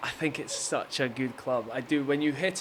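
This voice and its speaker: A man's flat, monotone delivery. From Scotland, Aberdeen. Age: 30s. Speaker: professional footballer. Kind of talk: casual interview chat. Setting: golf venue with hitting bays.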